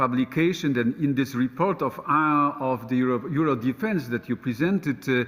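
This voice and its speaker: Speaking in a Polish accent, a man keeps a moderate pace, very even loudness and ordinary pitch variation on a very clean recording with a silent background. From Poland. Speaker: politician. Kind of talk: panel discussion. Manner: halting, many hesitations.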